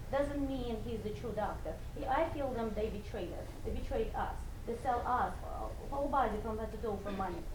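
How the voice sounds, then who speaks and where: A high-pitched woman talks at a moderate pace with lively intonation, amid noticeable background noise and audible room echo. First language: not English. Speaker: salon spa owner. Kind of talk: speech to an audience.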